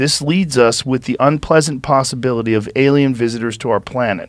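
A quiet background, dry sound with no echo, and ordinary pitch variation. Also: man. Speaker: podcast host. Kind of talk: reading aloud a text. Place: studio. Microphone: studio mic.

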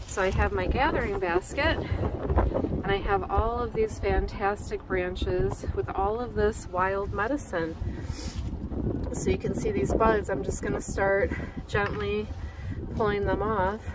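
Loud background noise sits behind a woman talking at a fairly slow pace. Her sound is dry, with no echo. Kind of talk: casual vlog chat. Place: waterside. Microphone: phone near.

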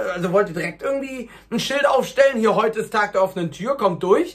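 A man's fairly bright tone, fairly quick pace, and ordinary pitch variation

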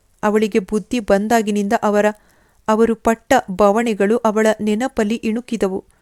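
Simply a natural reading voice

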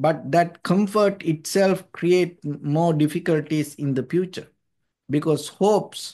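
Against a quiet background, a man with a high pitch talks fairly slowly, using ordinary pitch variation. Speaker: monk teacher. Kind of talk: dharma talk. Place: home room. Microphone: video call.

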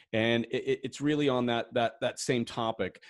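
The background has little sound. A man does the talking. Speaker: livestream interview host. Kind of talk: live Q&A interview. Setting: livestream video. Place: home room. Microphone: studio mic.

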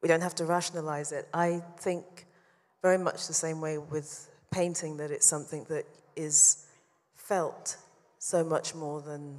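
A woman speaks in a London accent at a very deep, low pitch, fairly slowly. Her intonation is monotone and flat, and the background is quiet. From London, England. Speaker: painter; interviewee. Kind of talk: public talk; interview answer. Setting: stage with audience. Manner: halting. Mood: thoughtful, warm, smiling. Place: hall. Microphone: handheld.

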